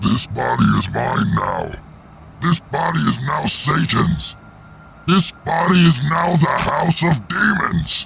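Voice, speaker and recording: Someone performs a put-on character voice at a fairly slow pace. Clear background noise runs behind it. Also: man. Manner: menacing.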